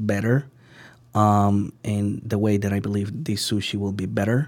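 Speaking with a Spanish accent, a man has a fairly low pitch on a very clean recording with a silent background. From Venezuela. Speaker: sushi chef. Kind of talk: interview. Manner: halting, many fillers.

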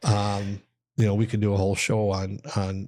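With an Upper Midwest accent, a man talks at a moderate pace and a fairly low pitch in a monotone, flat intonation. The recording is very clean, with a silent background. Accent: Upper Midwest (Minnesota). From Minnesota (Austin). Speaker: college hockey head coach. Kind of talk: casual interview.

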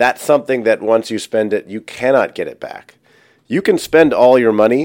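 Ordinary pitch variation in a man's speech, recorded very cleanly against total silence. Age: 30s. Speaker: podcast host and self-improvement coach. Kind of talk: solo podcast monologue. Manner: animated.

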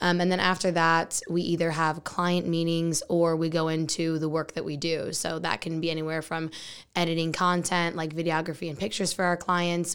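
An American accent in a very clean recording with a silent background. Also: woman. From Texas. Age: 20s. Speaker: marketing agency co-owner. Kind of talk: interview. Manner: fast talker; animated.

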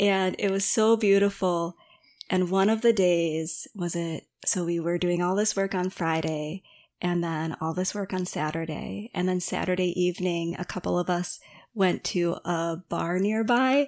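A woman's fairly low voice at a fairly slow pace, her intonation fairly even. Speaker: meditation and yoga teacher. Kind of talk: casual interview.

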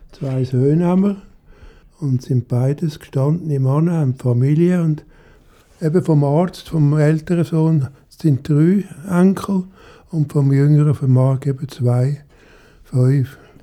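Very slowly and with long, frequent pauses, a man with a fairly high pitch and a dark, mellow tone speaks in fairly even intonation and very even loudness. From Zurich, Switzerland. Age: 80s+. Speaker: retiree. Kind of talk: interview testimony.

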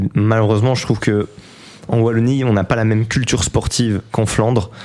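A man talks at a medium speed while noticeable noise carries on behind him. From Belgium, province of Namur. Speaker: football pundit. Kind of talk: radio sports talk show.

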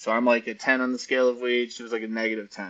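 A man with an American accent speaks at a medium pitch. His tone is bright and sharp. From Arizona, US. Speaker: cannabis entrepreneur and author. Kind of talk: casual interview.

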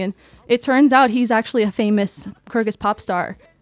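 A woman with an American accent speaks at a fairly quick pace with fairly even intonation. Hers is an unremarkable speaking voice, recorded dry and close with no echo. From New York City. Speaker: former exchange student. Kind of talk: interview storytelling.

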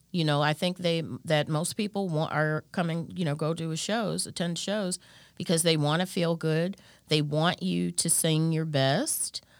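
A woman with an American accent, fairly low in pitch, at a fairly slow pace with fairly even intonation, in a very clean recording with a silent background. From Chicago area, Illinois (Park Forest). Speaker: singer and voice teacher. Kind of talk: interview. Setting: studio.

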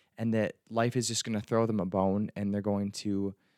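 A man has an ordinary speaking voice with fairly low pitch. The sound is dry and close, with no echo. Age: 20s. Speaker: podcast host and psychology student. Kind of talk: solo monologue podcast. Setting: recording at a microphone. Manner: casual with filler words.

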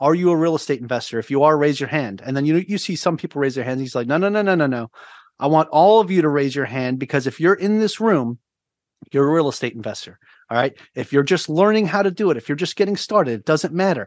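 With a New York accent, a man talks very fast with lively intonation. His pitch is fairly high, and the background is quiet. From Long Island, New York. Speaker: navy veteran, podcaster and real estate agent. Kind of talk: podcast interview. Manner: talkative.

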